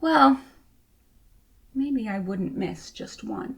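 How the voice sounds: A woman's put-on character voice, medium in pitch and fairly bright, with very wide pitch swings at a very slow pace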